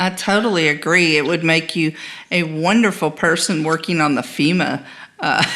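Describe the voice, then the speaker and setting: A woman talks in a plain, everyday voice at a fairly low pitch and a moderate pace. Her pitch variation is ordinary and her loudness very even. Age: 60s. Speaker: podcast host. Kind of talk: interview.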